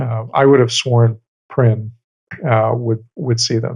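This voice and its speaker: A man's medium-pitched, somewhat breathy voice with an American accent and monotone, flat intonation. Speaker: podcast co-host. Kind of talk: casual chat.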